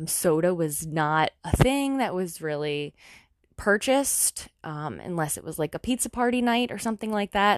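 Speaking at a moderate pace in an ordinary speaking voice, a woman with a medium pitch uses lively intonation, the sound dry and close with no echo over a quiet background. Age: 30s. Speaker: wellness podcast host. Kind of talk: casual monologue. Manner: conversational with filler words.

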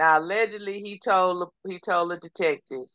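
Speaking with a Texas accent, a woman talks at a fairly slow pace and fairly low pitch with ordinary pitch variation, in a dry, close sound with no echo. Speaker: podcast co-host. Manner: conversational storyteller.

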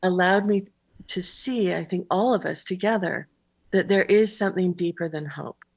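On a very clean recording with a silent background, a woman with an American accent has an unremarkable speaking voice, medium in pitch, with fairly even intonation and a moderate pace. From Utah. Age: 60s. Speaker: author and writer in residence. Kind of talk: interview.

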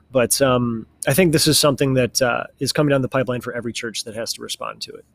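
A man speaks at a medium pitch. Noticeable background noise runs under the voice. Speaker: guest, church member. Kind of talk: prayer and religious discussion.

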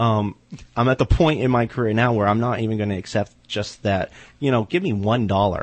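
A man with an unremarkable speaking voice talks fairly quickly at a medium pitch, with ordinary pitch variation. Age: 30s. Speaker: horror writer. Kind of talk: casual chat. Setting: studio.

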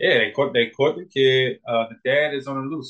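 With ordinary pitch variation, the man talks in a plain, everyday voice. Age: 30s. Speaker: personal trainer. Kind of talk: casual chat.

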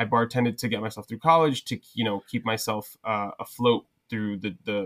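A man on a very clean recording with a silent background, the sound dry and close with no echo. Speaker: social media content creator and bar owner. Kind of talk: casual chat.

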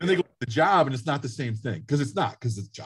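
The background is quiet. A man speaks in a somewhat breathy voice. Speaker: high school guidance counselor. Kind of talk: panel discussion.

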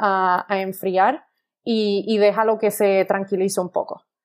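A woman's medium-pitched voice, monotone and flat, at a very slow pace. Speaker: wine enthusiast, engineer. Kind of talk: interview. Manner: halting, many fillers and repetitions.

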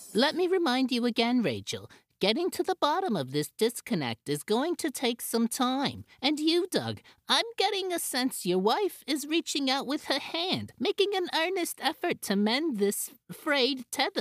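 A high-pitched voice speaks at a moderate pace. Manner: calm therapist, turning accusatory.

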